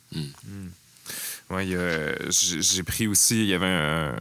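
Speaking at a fairly slow pace, a man has a very deep, low pitch and a bright, sharp tone. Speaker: podcast host. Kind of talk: casual chat. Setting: studio.

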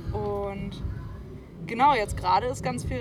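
A woman talks with audible room echo while music plays in the background. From northern Germany (Lübeck). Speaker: band bassist. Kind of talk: casual interview. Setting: outdoors at a festival. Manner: halting, many fillers.

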